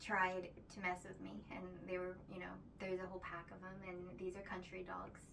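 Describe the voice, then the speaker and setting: Soft-spoken and at a fairly quick pace, a woman with a medium pitch talks in a monotone, flat intonation amid noticeable background noise and audible room echo. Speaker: spiritual vlogger. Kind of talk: casual spiritual monologue. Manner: halting, many fillers.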